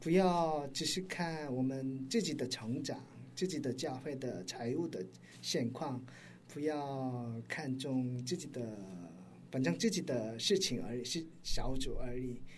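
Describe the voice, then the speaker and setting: Somewhat breathy and very slow, a man speaks at a medium pitch with ordinary pitch variation amid audible room echo. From South Korea. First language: Korean (speaking Chinese). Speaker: pastor and missionary. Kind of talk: interview. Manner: halting.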